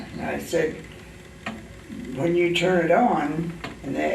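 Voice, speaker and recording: In a Midwestern American accent, a man speaks at a very slow pace amid noticeable background noise and audible room echo. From Indiana, Whitley County. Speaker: retired shoe store owner. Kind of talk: oral history interview. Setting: library. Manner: halting.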